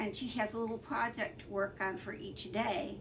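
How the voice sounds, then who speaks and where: Audible room echo surrounds a woman with a fairly high pitch. She talks at a fairly slow pace. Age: 60s. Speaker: artist and colouring hobbyist vlogger. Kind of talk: casual vlog talk. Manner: hesitant, many fillers.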